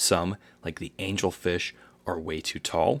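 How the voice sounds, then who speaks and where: This is a man speaking. His pace is fairly slow. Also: very clean recording, silent background. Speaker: aquarium hobbyist YouTuber. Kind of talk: casual educational talk to camera.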